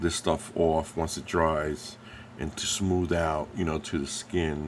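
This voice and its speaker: A very slow, monotone, flat delivery from a man with a very deep, low pitch and an American accent. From New Jersey, US. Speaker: scale model painter and YouTuber. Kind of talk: tutorial. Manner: casual, halting with many fillers.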